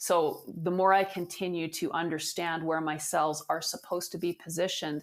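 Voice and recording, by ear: At a moderate pace, a woman speaks with a low pitch and fairly even intonation.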